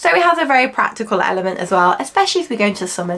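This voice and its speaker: A woman with an English accent. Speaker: fashion youtuber. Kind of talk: casual haul try-on chat. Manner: chatty, with frequent fillers.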